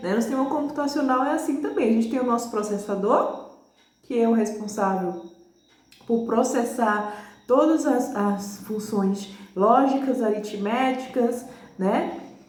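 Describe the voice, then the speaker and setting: A fairly high-pitched woman's voice at a fairly slow pace, with audible room echo and noticeable background noise. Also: ordinary pitch variation. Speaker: teacher. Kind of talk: lecture.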